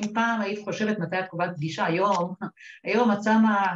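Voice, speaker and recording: At a moderate pace, a woman speaks in a normal speaking voice with ordinary pitch variation. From Upper Galilee, Israel. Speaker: lawyer, central bank executive. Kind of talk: panel discussion.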